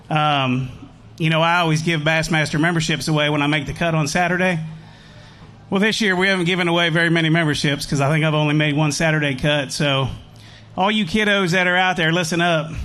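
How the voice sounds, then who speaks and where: With an American accent, a man talks at a very fast pace in a fairly high pitch, his intonation fairly even and his loudness very even. Music plays in the background and the room echo is audible. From US Midwest, Indiana. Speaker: professional angler. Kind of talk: stage interview.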